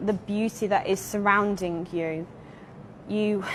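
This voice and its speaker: A woman with an English Midlands accent, medium-pitched, with fairly even intonation. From England, Derby. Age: 20s. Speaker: convert to Islam, English teacher. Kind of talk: interview testimony.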